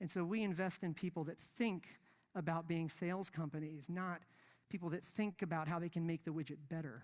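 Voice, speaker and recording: Against a silent background in a very clean recording, the talking goes at a fairly quick pace. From India, moved to US as a child. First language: not English (Indian language). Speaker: investor. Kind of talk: conference talk. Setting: stage with audience. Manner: casual, conversational.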